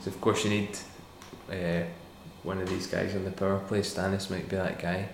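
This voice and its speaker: The recording has audible room echo. A man speaks with a fairly low pitch. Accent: Scottish. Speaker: podcast host. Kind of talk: casual chat.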